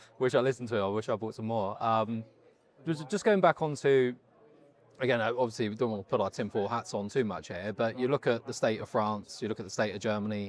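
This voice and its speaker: A man's very fast, medium-pitched speech with a British accent and ordinary pitch variation. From Britain. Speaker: interviewer. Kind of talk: interview. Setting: conference on-site.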